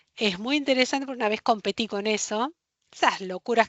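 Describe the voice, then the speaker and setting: A woman with a Rioplatense accent, fairly high in pitch and very fast in pace. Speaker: librarian workshop instructor. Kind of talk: online workshop lecture.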